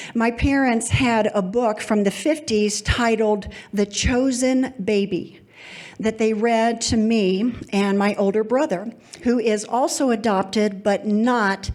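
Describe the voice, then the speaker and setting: A woman with a Kentucky accent, fairly high in pitch, at a fairly slow pace, with very even loudness and fairly even intonation. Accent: Kentucky twang. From Kentucky, Louisville. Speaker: storyteller. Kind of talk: live storytelling.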